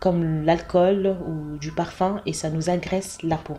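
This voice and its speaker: A woman speaks at a very slow pace with a very deep, low pitch. Her voice is somewhat breathy. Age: 40s. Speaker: cosmetics brand founder. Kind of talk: interview. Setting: office premises.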